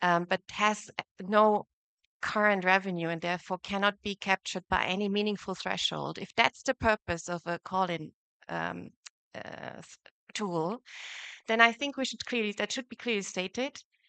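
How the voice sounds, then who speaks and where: A woman with an Austrian accent, bright, sharp tone, ordinary pitch variation and moderate pace, against a quiet background. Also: medium pitch for a woman, big swings in loudness, dry, close sound with no echo. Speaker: competition lawyer. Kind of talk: conference panel talk.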